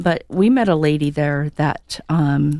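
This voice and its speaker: A woman with an American accent speaks in a dark, mellow tone with ordinary pitch variation. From Montana. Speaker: radio co-host. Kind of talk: casual radio chat.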